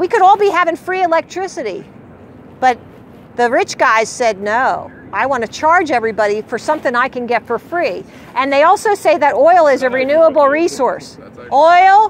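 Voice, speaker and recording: A woman with a high pitch talks at a moderate pace, her voice making very wide pitch swings. The sound is dry with no echo, and there is light background noise. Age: 60s. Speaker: flat earth street activist; speaker. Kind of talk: heated debate; impassioned street talk. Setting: outdoors. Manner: animated. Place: street. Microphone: camera far.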